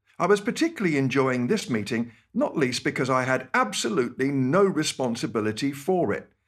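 Speaking with a British accent, the voice moves at a fairly quick pace with lively intonation and hardly any pauses, on a very clean recording with a silent background. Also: man, fairly high pitch for a man. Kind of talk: scripted radio talk with personal stories.

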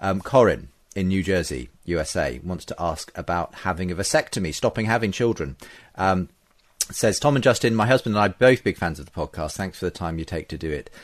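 A man with a British accent speaks at a fairly quick pace in a very deep, low voice, his intonation lively against a quiet background. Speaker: radio podcast host. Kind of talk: casual interview. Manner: friendly, conversational.

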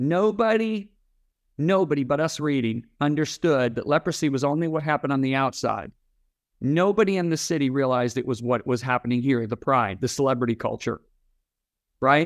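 Lively intonation, a fairly quick pace and fairly high pitch from a man with a plain, everyday voice. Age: 60s. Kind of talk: interview. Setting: remote interview.

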